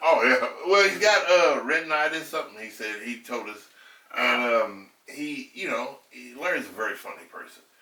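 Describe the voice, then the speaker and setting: A moderate pace, big swings in loudness and very wide pitch swings, with audible room echo. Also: man, fairly high pitch for a man. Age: 60s. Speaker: podcast guest. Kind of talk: casual chat. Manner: animated.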